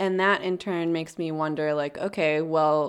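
A normal speaking voice from a woman, fairly low-pitched with an American accent and fairly even intonation, on a very clean recording with a silent background. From US South, suburban Jacksonville, Florida. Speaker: podcast producer, guest co-host. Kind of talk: casual chat.

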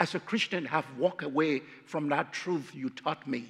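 A man with a Liberian accent and fairly high pitch speaks at a moderate pace with ordinary pitch variation, in a very clean recording with a silent background. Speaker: guest preacher. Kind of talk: sermon. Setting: church.

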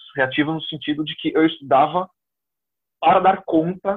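This is an ordinary speaking voice from a man. His pitch is fairly high and his intonation fairly even. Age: 30s. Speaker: exam candidate who passed the diplomatic service exam. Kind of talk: interview.

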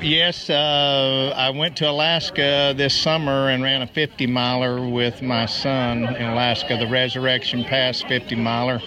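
A man talks with hardly any pauses in a monotone, flat intonation. His loudness is very even, with noticeable background noise. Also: medium pitch for a man, fairly slow pace. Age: 60s. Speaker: ultrarunner, former teacher. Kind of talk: casual interview.

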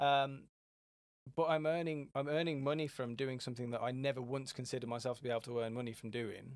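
A very fast man with an English accent, medium pitch and fairly even intonation. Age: 20s. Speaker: business founder. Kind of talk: casual chat.

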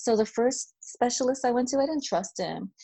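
This woman's speech moves at a fairly quick pace, with pitch varying in an ordinary way. Hers is a plain, everyday voice. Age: 40s. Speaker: public health researcher. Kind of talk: interview.

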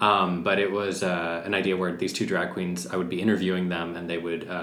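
Noticeable background noise and audible room echo surround a monotone, flat delivery. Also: man. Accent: Californian. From Los Angeles (Santa Monica, Pasadena). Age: 20s. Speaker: actor and writer. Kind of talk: casual chat.

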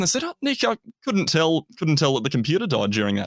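A man's fairly high voice with an Australian accent, very fast, dry and close with no echo, over a quiet background. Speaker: university student, trainee teacher, former radio presenter. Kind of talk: casual interview.

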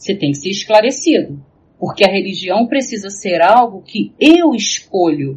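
A woman's medium-pitched, somewhat breathy voice at a fairly slow pace, with very wide pitch swings. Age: 40s. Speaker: professor and researcher in psychology and religion. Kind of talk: casual discussion.

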